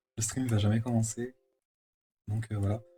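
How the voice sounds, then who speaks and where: Fairly even intonation from a man at medium pitch, with music in the background. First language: French. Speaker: animator streamer. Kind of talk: live stream chat while drawing. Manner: hesitant, many fillers.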